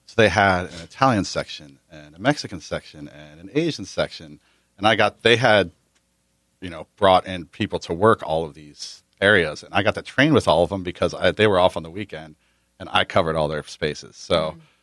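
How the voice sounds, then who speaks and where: Speaking at a fairly quick pace with an American accent, a man with a very deep, low pitch shows big swings in loudness and ordinary pitch variation, in a dry, close sound with no echo. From New Jersey. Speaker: chef and restaurant owner. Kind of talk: casual interview.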